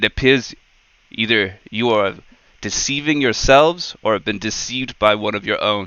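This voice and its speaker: Putting on a booming character voice, a man speaks at a medium pitch and a moderate pace. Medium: actual play. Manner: imperious.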